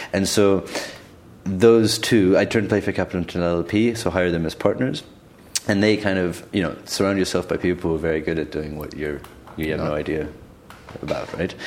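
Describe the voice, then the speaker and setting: A man with a very deep, low pitch talks at a fairly quick pace. He takes long, frequent pauses, and there is noticeable background noise. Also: ordinary pitch variation. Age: 20s. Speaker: investment fund founder. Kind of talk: casual chat. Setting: studio.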